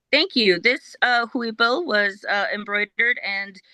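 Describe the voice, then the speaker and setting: Speaking fairly slowly with a Spanish accent, the voice shows ordinary pitch variation. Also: woman. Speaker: guest, historical reenactor. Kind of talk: interview. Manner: hesitant, many fillers.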